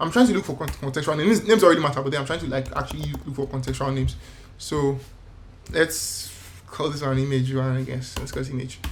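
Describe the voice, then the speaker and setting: Mumbling at a very fast pace, a man speaks at a fairly high pitch amid noticeable background noise and audible room echo. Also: ordinary pitch variation. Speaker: designer. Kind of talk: tutorial. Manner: halting.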